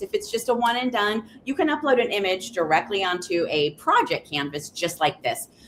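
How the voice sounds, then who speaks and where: A woman speaks with ordinary pitch variation. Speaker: software trainer. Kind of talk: webinar tutorial. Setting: live video stream. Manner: fast.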